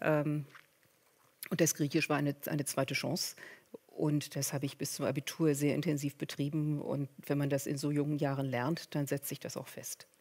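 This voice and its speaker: Her voice is very deep and low, delivered at a moderate pace in a monotone, flat intonation. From Berlin, Germany. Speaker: professor. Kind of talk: panel discussion. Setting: stage with audience.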